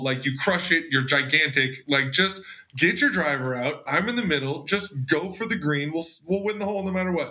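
In an American accent, this is an unremarkable speaking voice with ordinary pitch variation at a moderate pace. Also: man. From Los Angeles area. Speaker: golf content creator. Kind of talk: casual chat.

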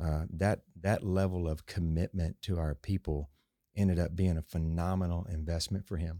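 On a very clean, dry and close recording with a silent background and no echo, the voice has a dark, mellow tone, a moderate pace and monotone, flat intonation. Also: man, very deep, low pitch for a man. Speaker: car dealership owner. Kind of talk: casual interview chat. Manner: calm, measured.

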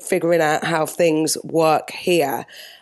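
A woman with a British accent speaks at a fairly slow pace. Her voice sits at a fairly low pitch. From UK. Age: 40s. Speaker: TV and live event producer. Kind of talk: interview.

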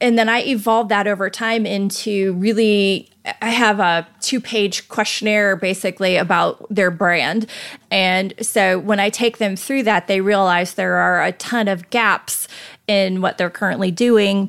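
Using an unremarkable speaking voice, a woman with an American accent talks at a fairly slow pace and medium pitch, with fairly even intonation and very even loudness. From northern US. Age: 50s. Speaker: portrait photographer. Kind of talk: interview.

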